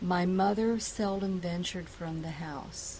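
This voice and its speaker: In a fairly low, somewhat breathy voice with an American accent, a woman speaks at a fairly slow pace amid audible room echo. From Ashland, Virginia. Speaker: oral history interviewee. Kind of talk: oral history interview.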